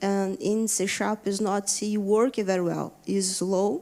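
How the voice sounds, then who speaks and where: A woman with a Brazilian accent speaks at a medium pitch. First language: Portuguese. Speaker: software engineer. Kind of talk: conference talk. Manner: halting, many fillers.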